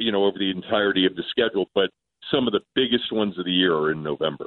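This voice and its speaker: In a normal speaking voice, a man talks with ordinary pitch variation. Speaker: sports radio host. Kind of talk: casual chat. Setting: phone call.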